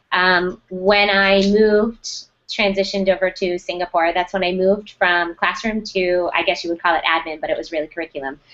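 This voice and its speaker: A woman with an American accent talks at a fairly quick pace in a medium-pitched, monotone voice with flat intonation. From United States. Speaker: school technology director. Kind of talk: interview.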